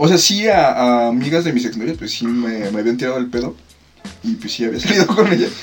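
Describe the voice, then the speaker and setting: Music plays in the background as the speaker rushes along at a very fast pace, pitch swinging very widely, with audible room echo. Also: man, medium pitch for a man. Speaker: podcast co-host. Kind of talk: casual chat. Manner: animated.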